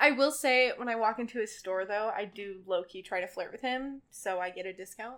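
In an unremarkable speaking voice, a woman talks at a fairly quick pace and fairly high pitch with hardly any pauses, big swings in loudness and ordinary pitch variation. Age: young. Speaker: barista. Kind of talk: casual chat.

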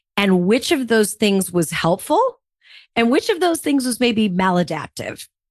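Fairly high-pitched woman's voice with very wide pitch swings and an animated tone, very even loudness, dry and close with no echo, quiet background. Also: fairly slow pace. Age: 40s. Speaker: podcast host and communication coach. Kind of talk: interview conversation.

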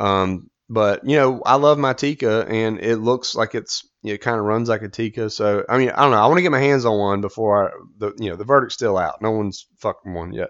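With a North Carolina accent, a man moves at a fairly quick pace and ordinary pitch variation. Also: quiet background. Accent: US Southern (North Carolina). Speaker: podcast host. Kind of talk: casual monologue.

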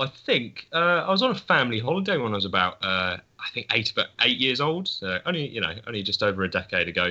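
A man at a very fast pace with hardly any pauses and very wide pitch swings. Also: medium pitch for a man. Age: young. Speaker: photography student. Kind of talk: casual chat.

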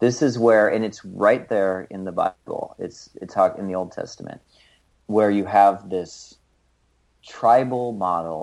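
A man speaks in an unremarkable speaking voice, his pitch fairly low and his pace moderate. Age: 30s. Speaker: author and healer. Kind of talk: interview conversation.

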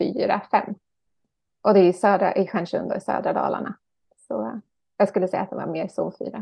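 A woman at a moderate pace. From Ekerö outside Stockholm, Sweden. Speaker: author and gardening teacher. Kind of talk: casual interview chat.

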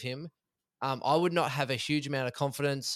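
In a very clean recording with a silent background, a man talks at a fairly quick pace with an Australian accent. His pitch is fairly high, with ordinary variation. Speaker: fantasy football analyst. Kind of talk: casual chat.

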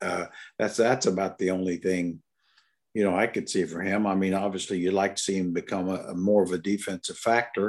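On a very clean recording with a silent background, a man with an American accent talks in an ordinary speaking voice at a moderate pace and fairly low pitch. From Indiana, US Midwest. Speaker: former NBA coach and broadcaster. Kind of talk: casual podcast chat, sports analysis. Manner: joking, self-deprecating.

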